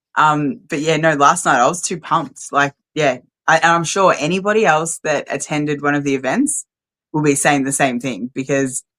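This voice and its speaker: A woman with an Australian accent, very deep and low-pitched, at a moderate pace. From Australia (Melbourne). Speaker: rally organiser. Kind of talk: casual interview.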